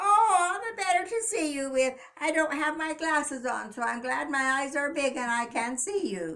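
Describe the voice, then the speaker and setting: A woman's high-pitched, put-on character voice at a moderate pace. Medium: read story. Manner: sly, put-on sweetness.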